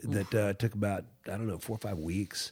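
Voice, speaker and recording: In a very clean recording with a silent background, a man with an American accent and a dark, mellow tone speaks at fairly low pitch and a fairly quick pace. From Virginia, US South. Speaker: musician and music teacher. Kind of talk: casual interview.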